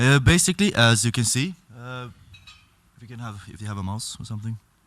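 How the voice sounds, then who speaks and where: A man talks at a moderate pace with a Swedish accent. The recording is very clean, with a silent background. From Sweden. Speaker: event chair. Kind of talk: conference announcements. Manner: halting.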